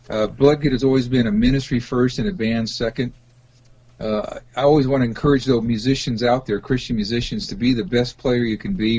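With ordinary pitch variation, an unremarkable speaking voice keeps a moderate pace. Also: man. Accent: American. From US West Coast, Los Angeles. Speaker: rock musician and pastor. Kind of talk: interview.

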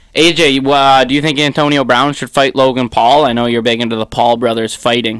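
Delivered at a fairly quick pace, this is a normal speaking voice. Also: man, medium pitch for a man, fairly even intonation. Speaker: sports podcast host. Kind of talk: casual banter.

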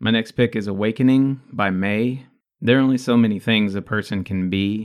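At a moderate pace, a man speaks in a medium pitch with fairly even intonation, a plain, everyday voice. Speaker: podcast host. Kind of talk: casual banter, music review chat.

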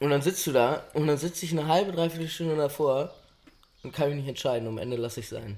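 A man's fairly high-pitched voice at a very fast pace, with ordinary pitch variation. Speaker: podcast co-host. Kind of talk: casual chat.

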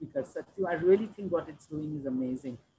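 Very wide pitch swings mark a woman's speech, which is somewhat breathy. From India, Delhi, Punjabi family. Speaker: social sector leader, nonprofit executive director. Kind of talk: interview, career story.

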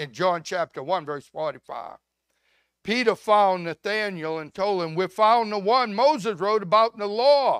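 Speech at a moderate pace comes through a dry, close sound with no echo on a very clean recording with a silent background. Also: man, high pitch for a man, lively intonation. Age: 70s. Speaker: pastor. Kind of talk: sermon. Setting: church.

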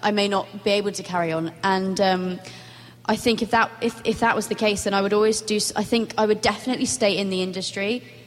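Against noticeable background noise, a woman talks at a very fast pace and medium pitch, her intonation fairly even. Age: young, 18. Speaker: actress. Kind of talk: panel discussion. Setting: stage with audience.

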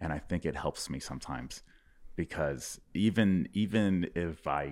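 With a Texan accent and some vocal fry, a man talks with ordinary pitch variation on a very clean recording with a silent background. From Texas. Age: 30s. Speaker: stand-up comedian. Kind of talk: casual chat. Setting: studio. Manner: halting.

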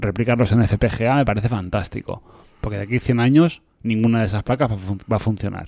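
Pitch variation here is ordinary. It is a plain, everyday voice. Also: man. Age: 40s. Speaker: podcast co-host. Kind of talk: casual chat.

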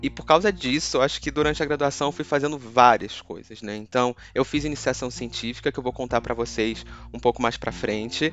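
With an ordinary speaking voice, a man talks at a fairly quick pace with hardly any pauses and ordinary pitch variation. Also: medium pitch for a man. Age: 20s. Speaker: data scientist, former physics student. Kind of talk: casual interview testimony.

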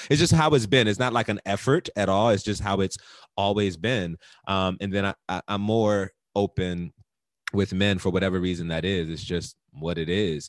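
In a normal speaking voice, a man with a fairly low pitch talks at a moderate pace with ordinary pitch variation, the sound dry and close with no echo on a very clean recording with a silent background. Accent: American. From US Mid-Atlantic, Baltimore and DC area. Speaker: podcast co-host. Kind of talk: casual chat.

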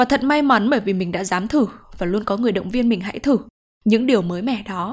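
A woman's fairly high, somewhat breathy voice with lively intonation and a fairly quick pace. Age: 20s. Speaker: podcast host. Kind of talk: personal reflective monologue.

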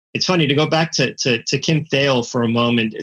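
Here is a man with a plain, everyday voice, speaking at medium pitch and a moderate pace with fairly even intonation. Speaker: music journalist and author. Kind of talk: interview.

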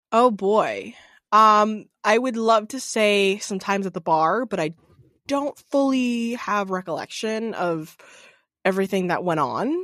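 A woman speaks with an American accent in an unremarkable speaking voice, fairly high in pitch with ordinary variation. She goes at a fairly slow pace against a quiet background. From Massachusetts, Norwood near Boston. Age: 20s. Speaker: podcast co-host. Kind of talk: casual chat. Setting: video call from her basement.

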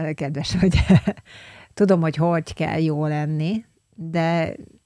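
A woman speaks very slowly in a very deep, low voice with a dark, mellow tone and fairly even intonation, on a very clean recording with a silent background. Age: 40s. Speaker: podcast co-host, consultant. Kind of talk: casual chat.

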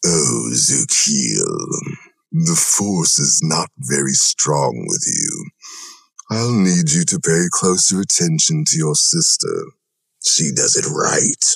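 A man puts on a character voice with a very deep, low pitch at a very slow pace. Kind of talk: formal, condescending. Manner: menacing.

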